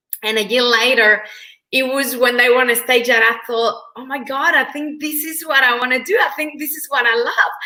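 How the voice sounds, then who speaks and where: A woman's raised, projected high voice in a Mexican accent, moderate in pace, with fairly even intonation and big swings in loudness. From Mexico. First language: Spanish. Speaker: motivational speaker and trainer. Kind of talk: interview.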